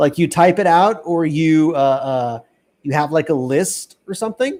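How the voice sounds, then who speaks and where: Fairly high-pitched and with lively intonation, a man with a plain, everyday voice speaks at a moderate pace. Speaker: English test prep teacher. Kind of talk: live online class.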